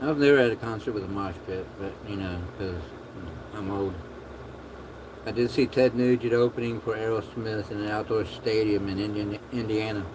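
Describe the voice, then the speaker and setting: A soft-spoken man mumbles at a moderate pace, his pitch fairly low and his intonation fairly even. Long, frequent pauses break his speech, and background noise is noticeable. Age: 50s. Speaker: livestreamer. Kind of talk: casual chat. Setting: livestream. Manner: mumbling.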